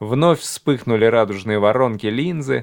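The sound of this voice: Unforced voice reading a text aloud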